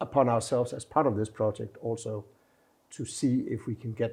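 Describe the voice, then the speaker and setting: A man's somewhat breathy voice with a Danish accent, a dark, mellow tone, medium pitch and fairly even intonation, in a very clean recording with a silent background. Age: 60s. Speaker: ambassador. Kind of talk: inspirational message to camera; interview. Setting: embassy.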